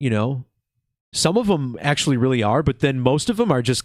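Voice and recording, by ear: Over a silent background in a very clean recording, a man speaks at medium pitch and a moderate pace. His tone is relaxed, with big pitch swings.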